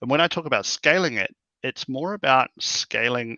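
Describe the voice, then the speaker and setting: A man with a New Zealand accent talks at a moderate pace, his intonation lively. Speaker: tech company founder and CEO. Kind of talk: interview.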